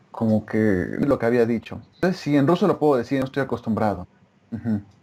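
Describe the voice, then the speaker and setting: Lively intonation and very even loudness carry this fairly quick delivery. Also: man, medium pitch for a man. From Mexico. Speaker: former Russian-language student, interviewee. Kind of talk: casual interview over video call. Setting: remote video call.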